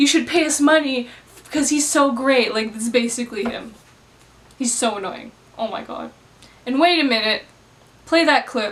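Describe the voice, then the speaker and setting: Over noticeable background noise, a woman speaks at a moderate pace in a high pitch with ordinary variation, leaving long, frequent pauses. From Canada. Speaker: movie reviewer. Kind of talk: angry movie review rant. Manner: animated, exasperated.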